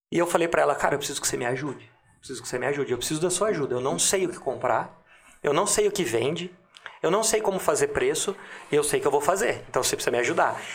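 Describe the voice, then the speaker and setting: A man's high-pitched, very fast voice with lively intonation. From Limeira, São Paulo state, Brazil. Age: 30s. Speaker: entrepreneur. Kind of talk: casual interview chat.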